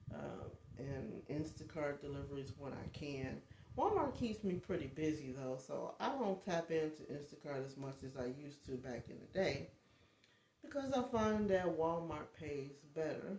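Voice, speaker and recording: Audible room echo surrounds a woman with a very deep, low pitch who speaks with lively intonation at a moderate pace. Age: 50s. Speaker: life coach and vlogger. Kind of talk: casual livestream chat. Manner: halting, many fillers.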